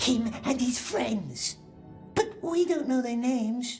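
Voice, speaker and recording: In a put-on character voice that sounds female, someone speaks high and fairly slowly over faint background music. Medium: video game. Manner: talks to himself, we/precious speech.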